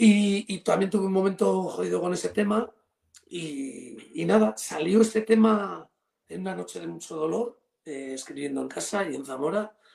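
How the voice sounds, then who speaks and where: With lively intonation and big swings in loudness, a man speaks at a high pitch and a moderate pace. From Spain, Cantabria. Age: 50s. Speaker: rock guitarist and singer. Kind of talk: interview. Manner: halting, repeats words.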